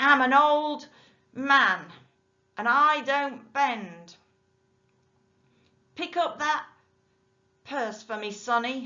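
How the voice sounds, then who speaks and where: In a put-on character voice, a woman speaks very slowly at a high pitch, raised and projected, sounding wheezy and leaving long, frequent pauses. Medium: read story. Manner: mocking, bullying.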